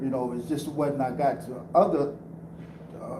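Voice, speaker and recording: At a moderate pace and with fairly even intonation, a man speaks in a fairly high pitch, with audible room echo and noticeable background noise. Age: 60s. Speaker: panel speaker sharing life story. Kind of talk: testimony. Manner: halting.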